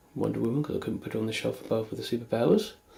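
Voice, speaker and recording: A man is speaking. He has a British accent. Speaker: toy collector. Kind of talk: video tour narration. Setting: at home. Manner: casual.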